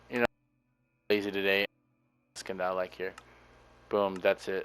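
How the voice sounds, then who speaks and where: Recorded with a dry, close sound and no echo, a man speaks at a fairly low pitch and moderate pace in a monotone, flat intonation. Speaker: gaming video creator. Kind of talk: gameplay commentary. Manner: subdued, low energy.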